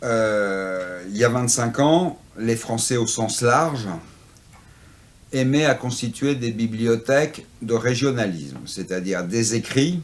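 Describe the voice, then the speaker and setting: This man talks at a very slow pace and a medium pitch. His pitch varies in an ordinary way. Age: 60s. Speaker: antiquarian bookseller. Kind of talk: interview. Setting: in his bookshop.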